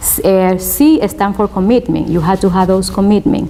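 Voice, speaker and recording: Over noticeable background noise, a woman with a Spanish accent speaks at a fairly low pitch. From Spanish-speaking country, immigrant. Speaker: law student. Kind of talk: interview testimony. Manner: hesitant, many fillers.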